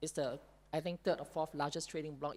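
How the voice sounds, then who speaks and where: A woman speaks with a Singaporean accent. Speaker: panelist. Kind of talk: panel discussion.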